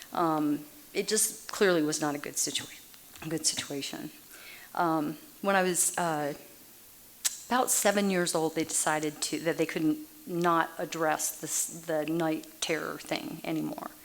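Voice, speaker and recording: A woman with an American accent and a very deep, low pitch, fairly even intonation, long and frequent pauses, and noticeable background noise. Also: fairly slow pace. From Massachusetts, then Texas from age 9. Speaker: Al-Anon speaker. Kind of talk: recovery meeting talk.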